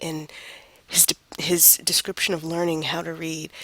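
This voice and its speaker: Over noticeable background noise, a woman speaks at a moderate pace and a fairly low pitch, the sound dry and close with no echo. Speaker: college writing instructor. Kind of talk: lecture. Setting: recorded online lecture.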